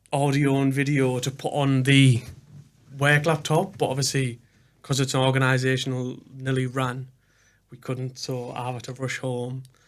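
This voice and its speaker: A man with a northeast English accent speaks at a moderate pace in a medium pitch, his intonation monotone and flat. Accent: north-east English. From northern England, Hartlepool. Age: 20s. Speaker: podcast host. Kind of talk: casual chat. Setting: studio.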